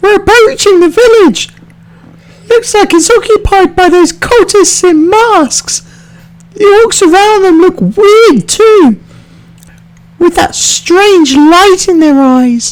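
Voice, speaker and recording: A squeaky, put-on character voice at a fairly slow pace. Long pauses come often. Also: man, extremely high pitch for a man. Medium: machinima. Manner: level-headed, cautionary.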